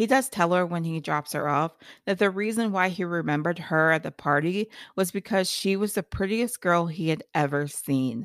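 A woman with an American accent speaks at a moderate pace in a fairly low voice with ordinary pitch variation, recorded very cleanly against a silent background with a dry, close sound and no echo. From Ohio. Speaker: podcast host. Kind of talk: solo book review monologue.

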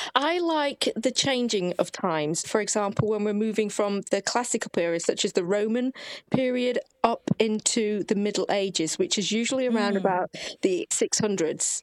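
A woman speaks in a plain, everyday voice with lively intonation and a fairly high pitch. The recording is very clean with a silent background, and the sound is dry and close with no echo. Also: moderate pace. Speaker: author and hereditary witch. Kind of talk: casual interview.

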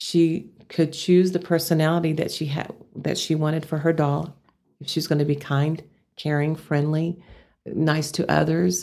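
A woman with a Texas accent speaks at a moderate pace in a very deep, low voice, her dark, mellow tone carried on a flat, monotone intonation. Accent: Texas twang. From Amarillo, Texas. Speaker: business founder. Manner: down-home, conversational.

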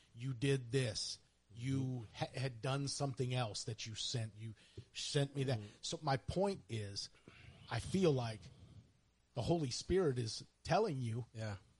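A man with an American accent speaks at a fairly slow pace, with long, frequent pauses. His voice is medium in pitch, somewhat breathy, with ordinary pitch variation. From Missouri (High Ridge, near St. Louis). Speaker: podcast co-host. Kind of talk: casual chat.

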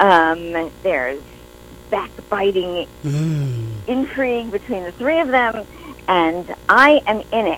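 A woman with a New York accent talks at a very slow pace. Her pitch swings very widely. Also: medium pitch for a woman. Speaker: writer, actor and director. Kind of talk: casual interview chat.

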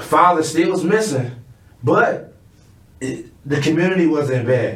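Audible room echo surrounds a man with an American accent and a fairly high pitch. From Chicago West Side. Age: 30s. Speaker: music artist. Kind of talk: casual interview.

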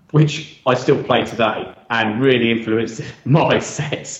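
A man talks very slowly, and the room's echo is audible. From South Coast of England. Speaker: DJ. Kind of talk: casual chat.

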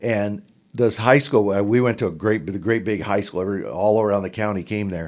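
A man with an American accent speaks at a moderate pace in a fairly low voice, an unremarkable speaking voice. The recording is very clean, with a silent background. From southern Oregon, Klamath Falls. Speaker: basketball podcaster. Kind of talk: casual interview. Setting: conference room.

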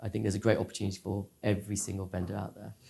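A man talks in a fairly low, somewhat breathy voice. His tone is dark and mellow. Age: 40s. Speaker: cybersecurity company founder. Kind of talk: interview.

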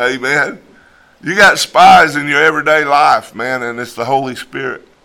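A man talks at a moderate pace, his fairly high voice showing ordinary pitch variation. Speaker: preacher. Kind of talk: fervent prayer; sermon. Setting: church congregation. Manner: fervent, pleading; animated, conversational storytelling.

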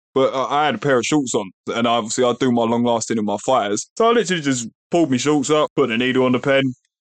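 With an English accent, a man talks very fast at medium pitch, with hardly any pauses, ordinary pitch variation and very even loudness. The sound is dry and close with no echo, over a quiet background. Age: 30s. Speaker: podcast co-host with type 1 diabetes. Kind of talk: casual chat.

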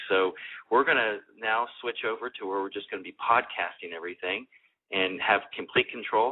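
A man with a fairly low pitch, ordinary pitch variation, a normal speaking voice and big swings in loudness. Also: moderate pace. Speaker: radio host. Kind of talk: radio interview.

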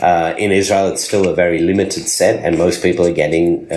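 Over noticeable background noise and audible room echo, a man with an Australian accent and a very deep, low pitch talks at a fairly quick pace. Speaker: pharmacist and cannabis entrepreneur. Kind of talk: interview.

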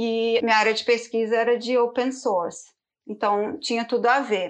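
A woman speaks over a quiet background. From Brazil, Belo Horizonte. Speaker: product designer. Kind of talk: interview.

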